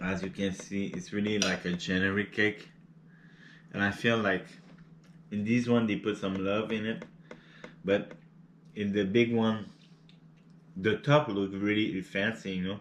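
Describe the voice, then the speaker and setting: Speaking with a non-native accent, a man uses a fairly low pitch and fairly even intonation in a relaxed tone. He goes at a fairly slow pace with long, frequent pauses. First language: not English. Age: 30s. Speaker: cooking and mukbang youtuber. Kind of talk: casual vlog chat while eating. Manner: halting, many repeated words and fillers; relaxed and laid-back.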